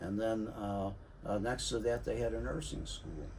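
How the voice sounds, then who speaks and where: Speaking with an American accent, a man uses a dark, mellow, somewhat breathy tone at a moderate pace, with ordinary pitch variation and audible room echo. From US Midwest, St. Louis. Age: 80s+. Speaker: navy veteran and city worker sharing experiences. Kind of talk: casual monologue, personal storytelling. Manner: halting, many fillers.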